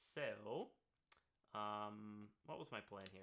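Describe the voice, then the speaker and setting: The voice is loud. Its tone is bright and sharp. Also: man. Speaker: music live streamer. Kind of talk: live stream tutorial. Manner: getting louder over time.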